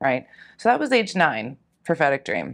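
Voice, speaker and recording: Over a quiet background, a woman with an American accent and vocal fry talks at a moderate pace. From US Northeast, Philadelphia. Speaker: retired naturopathic physician and hypnosis practitioner; interview guest. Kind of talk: interview conversation. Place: home room.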